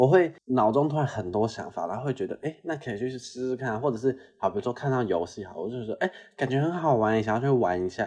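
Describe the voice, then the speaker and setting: A man talks at a very fast pace in a dark, mellow tone with lively intonation. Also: medium pitch for a man. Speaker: podcast co-host. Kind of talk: casual chat. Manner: moderate pace, fast when excited.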